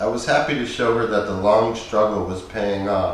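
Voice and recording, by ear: Reading aloud in a natural voice with fairly even intonation.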